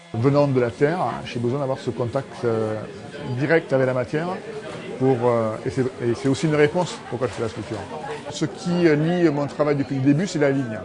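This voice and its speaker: Over music in the background, a man speaks with long, frequent pauses. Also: ordinary pitch variation, moderate pace. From Rodez, Aveyron, southern France. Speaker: metal sculptor. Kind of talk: interview answer.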